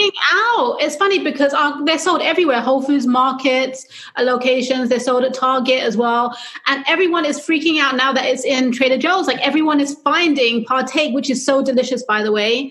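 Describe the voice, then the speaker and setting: A high-pitched woman with a London accent, fairly quick pace, ordinary pitch variation and very even loudness, amid audible room echo and noticeable background noise. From London, England. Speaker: publicist. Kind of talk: interview.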